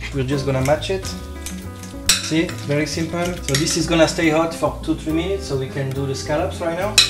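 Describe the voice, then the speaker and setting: A man talks at a very fast pace. Loud background noise runs behind him. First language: French. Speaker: chef. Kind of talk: cooking demonstration. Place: kitchen. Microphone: camera far.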